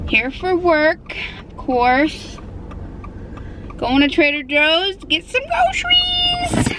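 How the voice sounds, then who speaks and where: A woman with an extremely high pitch and lively intonation, at a very slow pace, with long, frequent pauses, big swings in loudness and noticeable background noise. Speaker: lifestyle vlogger. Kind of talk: casual vlog tutorial. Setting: outdoors in a park. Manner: casual, hesitant with fillers; whispering.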